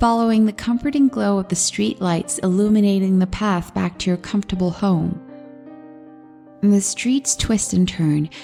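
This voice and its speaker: Music in the background behind a woman speaking at a fairly slow pace. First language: not English. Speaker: horror story narrator. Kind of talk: horror story reading.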